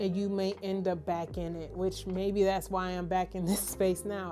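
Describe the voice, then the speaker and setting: Over music in the background, a woman with an American accent talks at a fairly slow pace in a medium pitch, her intonation monotone and flat. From Detroit, US Midwest. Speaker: vlogger. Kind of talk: personal video diary. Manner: stumbling over words.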